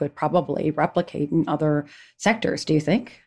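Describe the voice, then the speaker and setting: In a very clean recording with a silent background, a woman with a very deep, low pitch speaks at a fairly quick pace and with ordinary pitch variation. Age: 50s. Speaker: podcast host, former political aide. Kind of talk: interview.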